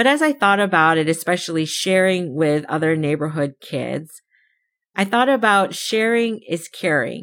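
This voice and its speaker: A woman with a plain, everyday voice and an American accent, pitched fairly low. Her intonation is lively, her pace moderate, and the recording is very clean with a silent background. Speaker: podcast host. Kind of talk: solo podcast monologue, personal storytelling.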